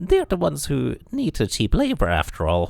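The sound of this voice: A man's put-on character voice with vocal fry, fairly high in pitch, slightly mellow in tone, with very wide pitch swings at a moderate pace.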